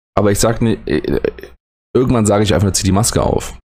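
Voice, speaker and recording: A man talks at a moderate pace. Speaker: educator and podcast host. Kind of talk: solo late-night podcast monologue. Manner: halting, hesitant.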